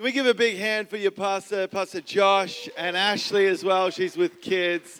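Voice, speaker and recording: This man's voice sits high in pitch, with ordinary pitch variation. He talks at a moderate pace. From Australia. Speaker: guest preacher. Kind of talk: sermon. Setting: church.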